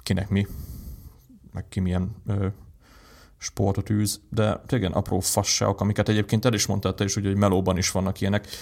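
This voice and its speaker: A man's fairly low voice runs at a fairly quick pace, its intonation monotone and flat. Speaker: tech podcast co-host. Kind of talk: casual chat. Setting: home recording setup.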